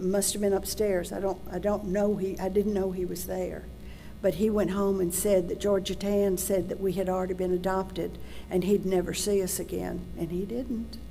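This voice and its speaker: With a Tennessee accent, a woman of medium pitch talks at a moderate pace in a flat monotone, amid noticeable background noise and audible room echo. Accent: US Southern (Tennessee). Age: 70s. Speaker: adoption search advocate and adoptee. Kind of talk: public talk.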